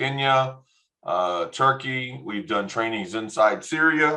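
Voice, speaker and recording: A man with a Texan accent, bright and sharp in tone, at a very slow pace. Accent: Texan American English. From Texas. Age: 50s. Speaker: education non-profit director. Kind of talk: online workshop presentation. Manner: hesitant, many fillers.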